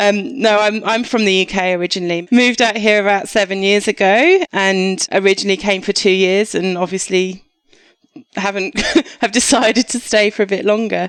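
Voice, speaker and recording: In a slight Australian accent, a woman speaks at a medium pitch and moderate pace with fairly even intonation. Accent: English with slight acquired Australian twang. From southeast England. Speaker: doctor. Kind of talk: podcast interview. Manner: hesitant, many fillers.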